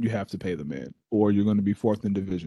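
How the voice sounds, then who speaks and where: This man talks at a fairly quick pace with a fairly low pitch and an animated tone, in an American accent. The background is quiet. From Texas. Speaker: sports podcast co-host. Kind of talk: casual chat.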